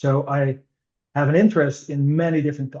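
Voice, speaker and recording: A somewhat breathy voice with a dark, mellow tone, a Dutch accent and fairly even intonation. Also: man. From Netherlands. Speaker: innovation director at a digital commerce consultancy. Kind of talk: podcast interview. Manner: frequent hesitations and fillers.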